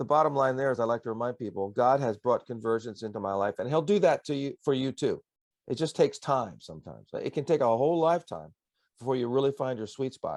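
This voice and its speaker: Against a quiet background, a man speaks fairly quickly in an ordinary speaking voice, medium in pitch with ordinary pitch variation. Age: 60s. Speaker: pastor and songwriter. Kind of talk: interview. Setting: radio broadcast.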